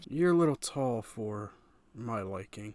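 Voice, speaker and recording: A put-on character voice with lively intonation. The pace is fairly slow. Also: man, medium pitch for a man. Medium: actual play. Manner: bossy, condescending.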